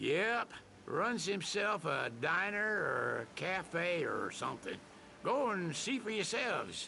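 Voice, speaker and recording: A man uses a put-on character voice, gruff and high-pitched, in a Southern US accent. He speaks at a fairly slow pace over clear background noise. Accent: Southern US drawl. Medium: video game. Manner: gruff, folksy, laconic.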